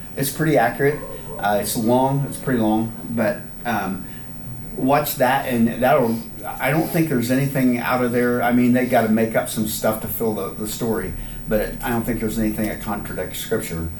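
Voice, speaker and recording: Speaking at a moderate pace, a man uses a medium pitch with ordinary pitch variation. Room echo is audible, and there is noticeable background noise. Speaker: Bible class teacher. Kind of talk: Bible study lesson. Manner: halting.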